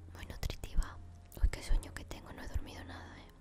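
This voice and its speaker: Whispering, the woman moves along at a fairly quick pace. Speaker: ASMR gameplay YouTuber. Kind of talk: casual gameplay commentary talking to camera. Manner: soft-spoken, relaxed. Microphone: studio mic.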